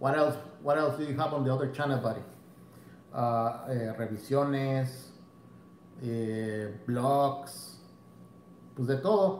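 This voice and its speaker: A man at medium pitch, with ordinary pitch variation, talks at a very slow pace with long, frequent pauses. Audible room echo and light background noise are present. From Mexico. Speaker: fishing YouTuber; fishing channel host. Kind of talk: bilingual live stream, casual chat. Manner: switches between Spanish and English. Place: home room. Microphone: phone near.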